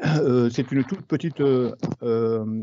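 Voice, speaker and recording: A man speaks at a medium pitch. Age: 60s. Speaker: market gardener. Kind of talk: webinar presentation. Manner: halting, many hesitations.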